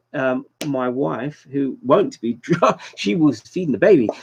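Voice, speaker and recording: Using lively intonation, a man talks with a British accent. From London, England. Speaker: YouTuber livestream host. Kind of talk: casual livestream chat.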